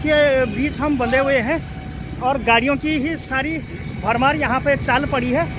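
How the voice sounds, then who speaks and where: A man's extremely high-pitched voice over noticeable background noise. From Garhwal, Uttarakhand, India. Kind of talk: casual vlog talk to camera. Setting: outdoors.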